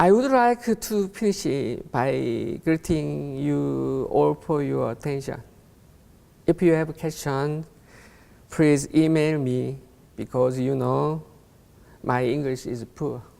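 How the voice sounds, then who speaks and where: Long, frequent pauses break up a man's speech in a Korean accent. His pace is very slow. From South Korea. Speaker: conference speaker. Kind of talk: conference talk. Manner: reading from script; halting.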